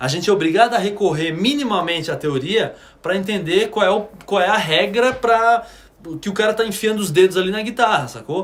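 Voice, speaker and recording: The man speaks in a high-pitched voice. Ordinary pitch variation marks his delivery. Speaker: drum teacher. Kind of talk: live stream lesson. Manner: fast; casual, slangy.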